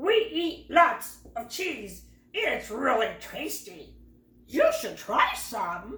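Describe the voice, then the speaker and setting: A woman's put-on character voice, high in pitch and very slow in pace, with a slight echo. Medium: read story. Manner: friendly, jolly.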